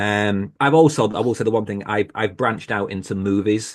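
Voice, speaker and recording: A man with a British accent and fairly low pitch at a moderate pace, over a quiet background. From Britain. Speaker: podcast host. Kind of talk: panel discussion.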